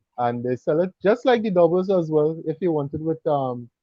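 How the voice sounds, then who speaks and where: A man talks in a Trinidadian accent at a moderate pace. His pitch is fairly high, with ordinary variation. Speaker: cooking YouTuber and mechanic. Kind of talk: casual chat.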